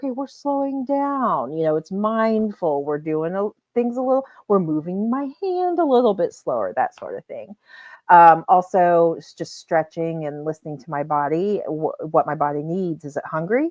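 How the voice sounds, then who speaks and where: A woman with an American accent speaks at a moderate pace and a medium pitch. Her pitch swings very widely, and her loudness shifts by big amounts. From US Midwest, Indiana. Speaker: adoptee community advocate. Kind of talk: podcast interview. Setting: podcast recording.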